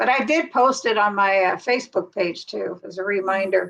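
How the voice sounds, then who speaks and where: A woman's medium-pitched voice at a moderate pace, with ordinary pitch variation and music in the background. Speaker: live stream host. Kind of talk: casual chat. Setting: live stream.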